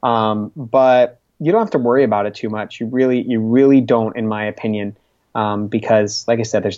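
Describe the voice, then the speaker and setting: A man talks in an ordinary speaking voice. His intonation is fairly even and his pace fairly quick. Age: 30s. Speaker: vegan food blogger and podcast host. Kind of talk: interview.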